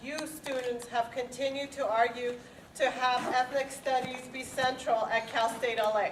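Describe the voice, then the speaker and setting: A woman speaks at high pitch and a fairly slow pace. Noticeable background noise is present. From Los Angeles, Mexican-born. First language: Spanish. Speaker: department chair. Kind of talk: formal speech.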